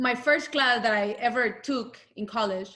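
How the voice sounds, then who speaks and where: A woman's fairly high voice with a Latin American accent and a bright, sharp tone. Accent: Latin American Spanish accent, noticeable. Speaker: UX design lead. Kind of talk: interview talk. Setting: video call. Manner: halting, many fillers.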